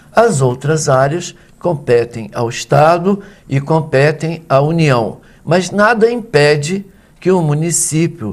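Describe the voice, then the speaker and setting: A somewhat breathy man's voice, fairly high in pitch, at a very slow pace with lively intonation. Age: 60s. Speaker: professor. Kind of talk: interview.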